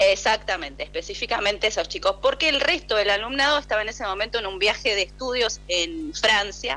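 Over noticeable background noise, a woman with a Rioplatense accent talks at a fairly quick pace with hardly any pauses. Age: 50s. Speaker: parent of a student. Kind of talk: phone interview. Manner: halting.

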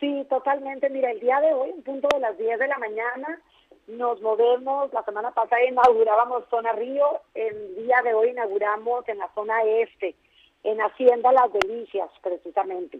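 A woman talks with a high pitch, ordinary pitch variation and a moderate pace. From Mexico, Tijuana (Baja California). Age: 50s. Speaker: marketing director. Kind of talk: phone interview. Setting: phone call.

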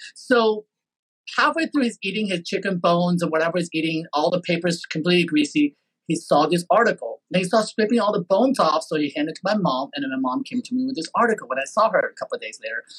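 A man with a Taiwanese accent talks at a very fast pace and a high pitch with lively intonation, the sound dry and close with no echo. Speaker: podcast host. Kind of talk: interview. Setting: video call.

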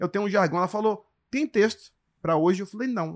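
A man speaks at a high pitch in an animated tone with lively intonation. The recording is very clean, with a silent background. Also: dry, close sound with no echo. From grew up moving around Brazil (Porto Velho, Manaus, Salvador, Brasília, Recife). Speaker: stand-up comedian. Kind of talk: casual chat.

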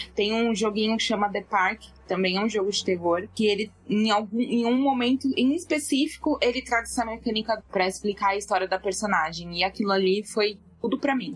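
Fairly high-pitched woman's voice at a moderate pace, ordinary pitch variation and hardly any pauses. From São Paulo, Brazil. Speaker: gaming podcaster and streamer. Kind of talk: casual chat.

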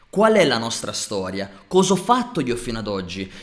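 A man speaks in an animated tone with vocal fry. His pace is moderate. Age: 30s. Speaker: fitness and lifestyle coach. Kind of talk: motivational monologue.

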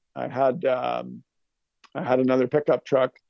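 Medium pitch and a moderate pace in a man's normal speaking voice. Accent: Canadian. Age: 50s. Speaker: lawn care business owner. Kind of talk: casual chat.

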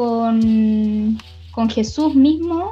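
Noticeable background noise can be heard. Through it, a woman talks. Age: 30s. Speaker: youth leader. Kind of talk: casual chat.

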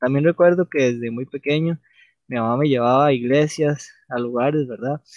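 A man talks with a Costa Rican accent. His intonation stays fairly even. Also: fairly high pitch for a man, moderate pace. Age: 20s. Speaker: podcast co-host. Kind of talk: casual chat.

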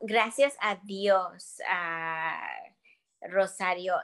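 A medium-pitched woman's voice with lively intonation and big swings in loudness. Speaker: stage actress. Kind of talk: casual interview.

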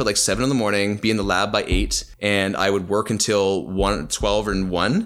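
A man with a Canadian accent talks at a fairly quick pace in an ordinary speaking voice, fairly low in pitch and fairly even in intonation. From Canada (Ontario, Calgary, BC). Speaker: mechanical engineer. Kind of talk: casual interview storytelling.

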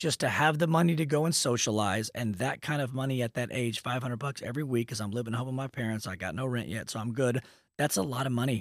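In an ordinary speaking voice with an American accent, a man talks at medium pitch and a fairly quick pace with ordinary pitch variation, on a very clean, dry, close recording with no echo and a silent background. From Texas, Dallas. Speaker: mortgage branch owner. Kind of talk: casual interview chat.

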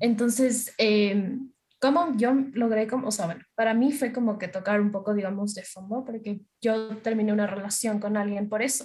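A woman's somewhat breathy voice at a moderate pace with fairly even intonation. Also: fairly high pitch for a woman. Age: 20s. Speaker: social media content creator and university student. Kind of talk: casual interview.

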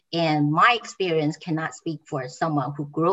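A woman speaks at a moderate pace with a Taiwanese accent. Her pitch is fairly low, with ordinary variation. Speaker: graduate student.

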